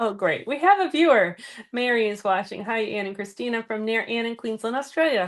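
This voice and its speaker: The speaker has an American accent and lively intonation. The pace is fairly quick. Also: woman, fairly high pitch for a woman. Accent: Boston accent, comes out when tired. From Boston area, Massachusetts. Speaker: card-making teacher, stream co-host. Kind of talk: live crafting class. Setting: live stream.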